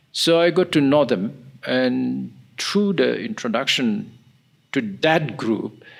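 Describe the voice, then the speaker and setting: Over a silent background in a very clean recording, a man with a medium pitch talks at a very slow pace, his loudness very even, his pitch swinging very widely, with long, frequent pauses. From Nagaland, northeast India. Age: 70s. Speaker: historian and peace activist. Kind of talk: interview.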